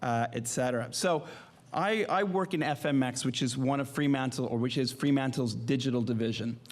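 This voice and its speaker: A man's fairly high voice at a moderate pace. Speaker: media company executive. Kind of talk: conference presentation. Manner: halting, many fillers.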